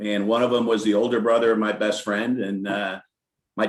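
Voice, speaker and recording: A man with a fairly low pitch and an American accent, at a moderate pace, in a monotone, flat intonation. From upstate New York. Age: 60s. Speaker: company CEO. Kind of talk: interview.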